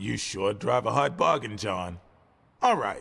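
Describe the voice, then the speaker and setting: A raspy, put-on character voice from a man, fairly low in pitch and fairly slow in pace, in a very clean recording with a silent background. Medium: video game. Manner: defensive, hesitant.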